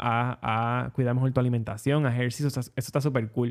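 In a Puerto Rican accent, a man talks at a medium pitch on a very clean recording with a silent background. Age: 20s. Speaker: podcast host. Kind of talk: solo monologue podcast.

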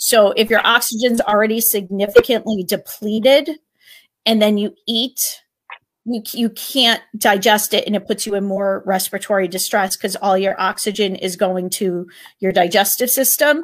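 With an American accent, a woman talks at a moderate pace in a fairly high pitch with ordinary pitch variation. Hers is an unremarkable speaking voice, on a very clean recording with a silent background. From Connecticut, US. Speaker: former middle school teacher, educational consultant. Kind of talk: casual interview about personal health journey. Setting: studio, live stream.

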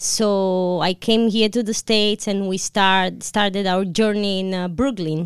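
A woman with an Italian accent at a fairly slow pace, hardly any pauses and fairly even intonation, in a dry, close sound with no echo on a very clean recording with a silent background. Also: medium pitch for a woman. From Italy. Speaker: restaurant co-owner. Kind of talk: casual chat. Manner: halting.

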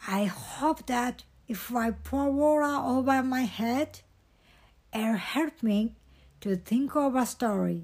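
A female-sounding voice puts on a character voice with a high pitch. The delivery moves at a fairly slow pace. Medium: read story. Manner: earnest.

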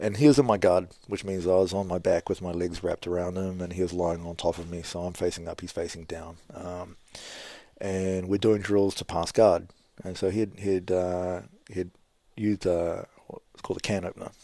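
Very deep, low male voice in a New Zealand accent, dark and mellow, with flat, monotone intonation, big swings in loudness and a fairly quick pace, in a very clean recording with a silent background. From New Zealand, Kapiti Coast near Wellington. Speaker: former kickboxer and gym owner. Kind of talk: casual interview.

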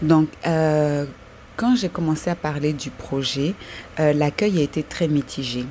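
The delivery is very slow. Pitch moves with ordinary variation. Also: woman, very deep, low pitch for a woman. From Ivory Coast. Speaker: listener with a project. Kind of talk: voice message.

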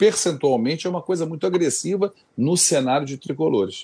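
Here is a man with an unremarkable speaking voice and lively intonation. He keeps a moderate pace against a quiet background. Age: 50s. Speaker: football fan YouTuber. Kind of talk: live stream interview.

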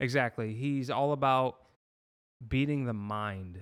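With an American accent and an animated tone, a man speaks at a fairly slow pace with ordinary pitch variation. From Massachusetts. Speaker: podcast guest. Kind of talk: casual interview.

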